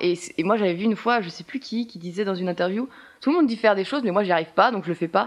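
A woman talks very fast at a medium pitch. Her intonation is lively. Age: 20s. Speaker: theatre student. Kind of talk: casual interview. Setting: apartment with windows open. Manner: hesitant, many fillers.

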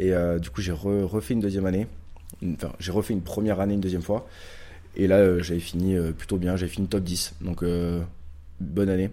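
This man's voice is very deep and low, with a dark, mellow tone and fairly even intonation. He moves at a fairly quick pace but leaves long, frequent pauses. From southwestern France, Pau. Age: 20s. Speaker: stock market investor and physiotherapist. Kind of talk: casual interview.

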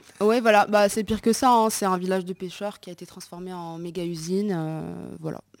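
Here a woman speaks at medium pitch. She has a plain, everyday voice. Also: fairly even intonation, fairly quick pace, big swings in loudness. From Morocco. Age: 20s. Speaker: entrepreneur. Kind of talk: casual chat.

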